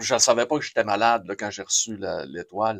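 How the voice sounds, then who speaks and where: A man with a Quebec accent speaks at a fairly low pitch with ordinary pitch variation. The recording is very clean with a silent background, and the sound is dry and close with no echo. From Quebec, Saguenay-Lac-Saint-Jean. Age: 60s. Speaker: radio host. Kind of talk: interview. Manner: animated.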